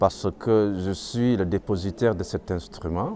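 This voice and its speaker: Speaking at a very slow pace, a man uses a fairly low voice with ordinary pitch variation. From Senegal. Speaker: griot musician, kora player. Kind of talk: interview answer.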